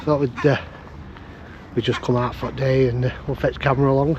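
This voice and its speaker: There is noticeable background noise as a man talks with a northern English accent. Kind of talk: casual vlog talk to camera.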